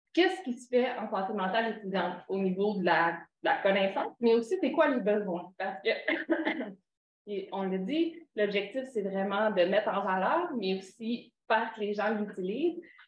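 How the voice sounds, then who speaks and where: With lively intonation at a medium pitch, a woman speaks amid audible room echo. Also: moderate pace. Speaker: knowledge broker in student mental health. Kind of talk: conference talk. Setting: conference with audience. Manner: halting.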